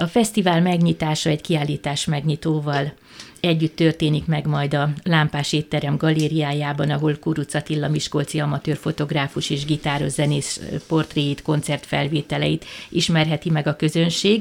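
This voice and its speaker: A woman with a very deep, low pitch speaks at a moderate pace in a monotone, flat intonation, her loudness very even throughout. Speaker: cultural center director and festival organizer. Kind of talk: radio interview.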